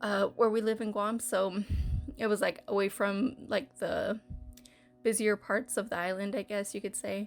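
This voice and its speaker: Music plays behind a woman with a fairly high voice. She speaks at a moderate pace with fairly even intonation. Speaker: gaming YouTuber. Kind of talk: casual storytelling. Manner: hesitant, many filler words; mumbling at times.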